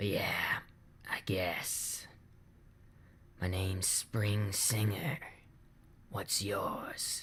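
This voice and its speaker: In a put-on character voice, a man speaks very slowly at a fairly low pitch, sounding wheezy, raspy and hoarse, with long, frequent pauses. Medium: read story. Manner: slow, dry humor.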